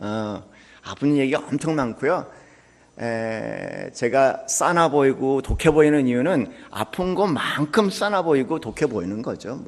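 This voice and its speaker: A man speaks at a very slow pace with a fairly high pitch and a lively intonation. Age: 60s. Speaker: pastor. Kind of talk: sermon. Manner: hesitant, many fillers.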